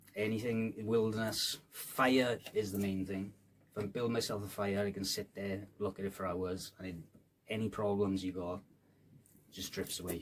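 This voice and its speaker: A man speaks in a Welsh Valleys accent. His intonation is monotone and flat. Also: moderate pace. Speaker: rapper. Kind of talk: casual chat. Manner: casual, hesitant fillers.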